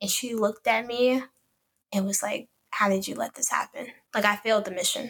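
In a Chicago accent, a woman with a fairly high voice talks at a fairly quick pace with fairly even intonation, broken by long, frequent pauses. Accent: Chicago American English. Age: 20s. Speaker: podcast co-host. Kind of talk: casual chat.

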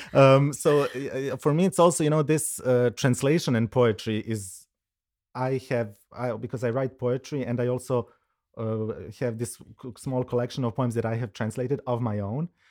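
On a very clean recording with a silent background, a man speaks at a medium pitch with a Serbo-Croatian accent. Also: ordinary pitch variation, moderate pace. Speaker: curator and researcher. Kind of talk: casual conversation. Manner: halting, many fillers and restarts.

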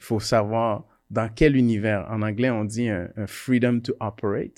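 A man speaks very slowly at a fairly low pitch. His intonation is fairly even, and the recording is very clean with a silent background. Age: 40s. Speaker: electrical engineer and entrepreneur. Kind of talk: casual interview discussion.

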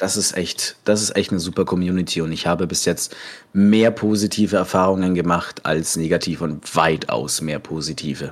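A man speaks in a very deep, low voice with fairly even intonation, on a very clean recording with a silent background. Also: moderate pace. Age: 20s. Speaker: cook and role-play gamer. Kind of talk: casual interview. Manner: hesitant, many fillers.

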